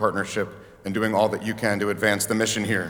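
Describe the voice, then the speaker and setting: There's audible room echo around a man's bright, sharp tone. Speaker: banquet emcee. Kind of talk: banquet emceeing. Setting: stage with audience. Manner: animated; fast.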